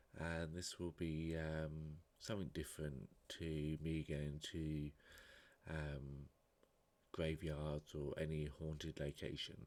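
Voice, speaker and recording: Soft-spoken and very slow, a man talks at a very deep, low pitch. His intonation is monotone and flat, and his loudness stays very even. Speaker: vlogger. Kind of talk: casual vlog talk. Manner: halting.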